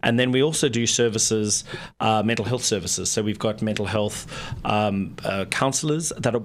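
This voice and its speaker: Fairly quick, fairly low-pitched speech from a man with a South African accent, fairly even in intonation, amid noticeable background noise. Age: 40s. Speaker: nonprofit executive director. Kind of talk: radio interview. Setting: radio studio.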